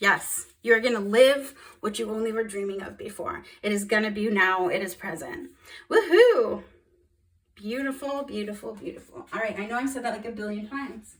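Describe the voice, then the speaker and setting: Somewhat breathy and fairly high, a woman's voice shows big swings in loudness and ordinary pitch variation. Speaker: tarot reader. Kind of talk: tarot reading monologue. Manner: fast; animated.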